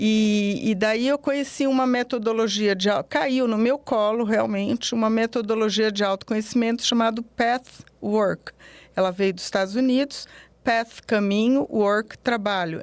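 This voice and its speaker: A woman with a fairly high pitch, ordinary pitch variation and a moderate pace. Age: 60s. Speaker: psychologist. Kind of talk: interview. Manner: halting.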